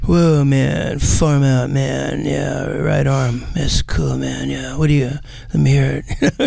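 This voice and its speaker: A man puts on a character voice at a fairly slow pace. There is light background noise. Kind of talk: 1960s slang. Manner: casual, trying to sound cool.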